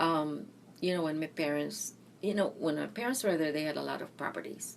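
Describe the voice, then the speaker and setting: Fairly quick speech in a Philippine accent with ordinary pitch variation. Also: woman, very deep, low pitch for a woman. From Philippines, Mindanao. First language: Bisaya. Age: 60s. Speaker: interviewee, retired nurse. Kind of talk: oral history interview.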